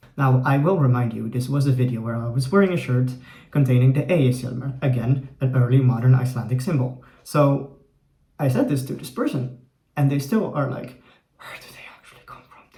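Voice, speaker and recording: Over music in the background and audible room echo, a man with an American accent and medium pitch speaks with big swings in loudness. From Poland and the Netherlands. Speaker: YouTuber and Norse studies student. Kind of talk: casual vlog monologue. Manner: conversational with fillers.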